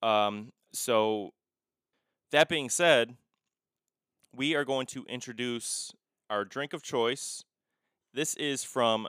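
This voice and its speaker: A man at medium pitch, very slow pace with long, frequent pauses, on a very clean recording with a silent background. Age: 20s. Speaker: true crime podcast host. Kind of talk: casual chat while drinking.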